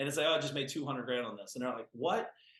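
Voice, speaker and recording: The speaker is a man with medium pitch. He has an American accent. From US Midwest (small-town Ohio). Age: 40s. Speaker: entrepreneur. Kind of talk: podcast interview. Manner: animated.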